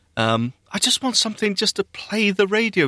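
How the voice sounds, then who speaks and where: A man with a British accent speaks at a fairly quick pace in a bright, sharp tone, his pitch swinging very widely. The sound is dry and close with no echo, in a very clean recording with a silent background. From UK. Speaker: podcast co-host. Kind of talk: casual chat. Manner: animated.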